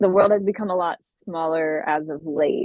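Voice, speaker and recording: A woman with a plain, everyday voice, fairly low in pitch, at a moderate pace with fairly even intonation. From US, Austin Texas, Ethiopian immigrant family. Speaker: singer-songwriter. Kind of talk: interview. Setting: podcast interview. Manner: casual, many fillers and restarts.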